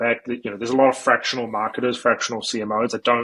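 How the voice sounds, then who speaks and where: A man's medium-pitched voice at a very fast pace. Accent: New Zealand. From New Zealand. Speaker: marketing agency founder. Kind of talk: podcast interview. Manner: casual, many fillers and repetitions.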